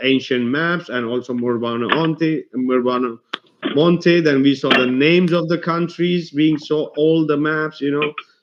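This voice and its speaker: A fairly high-pitched man with a non-native accent, speaking at a fairly slow pace with fairly even intonation. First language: not English. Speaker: conspiracy video host. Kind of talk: casual discussion. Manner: halting.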